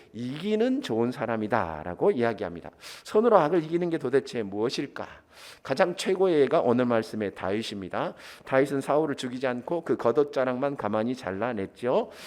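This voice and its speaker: The tone is animated, with very wide pitch swings. The background is quiet. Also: man, medium pitch for a man. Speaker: pastor. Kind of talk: sermon. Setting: church. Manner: fast.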